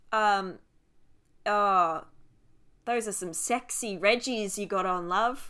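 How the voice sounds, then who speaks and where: A woman speaks at a very slow pace with long, frequent pauses, in a strong Australian accent and a bright, sharp tone. Her medium pitch shows ordinary variation, and the recording is very clean with a silent background. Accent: broad Australian (Ocker). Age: 20s. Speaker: podcast co-host. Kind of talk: casual chat.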